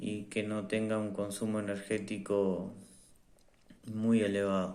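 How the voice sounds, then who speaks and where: In a room with audible echo, a man speaks very slowly in a fairly low, dark, mellow voice with monotone, flat intonation. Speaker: tech reviewer. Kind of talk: product review. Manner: hesitant, many fillers.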